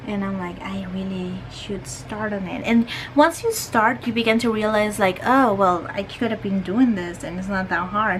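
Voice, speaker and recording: Moderate pace with hardly any pauses, a strong non-native accent, ordinary pitch variation, and noticeable background noise. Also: woman, medium pitch for a woman. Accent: strong foreign. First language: not English. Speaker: art youtuber. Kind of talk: casual chat while painting. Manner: halting.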